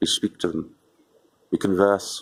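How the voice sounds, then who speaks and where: Fairly low in pitch, a man with a Lancashire accent speaks at a moderate pace. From northern England, Wigan. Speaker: home gardener. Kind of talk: gardening tutorial. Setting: outdoors at sunset. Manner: casual, jokey; mock posh voice briefly.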